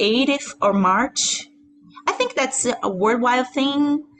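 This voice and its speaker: Over noticeable background noise, a speaker with a Portuguese accent talks at a very slow pace. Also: woman, very even loudness. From Brazil, Rio de Janeiro. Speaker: singer-songwriter and pianist. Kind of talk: casual interview chat.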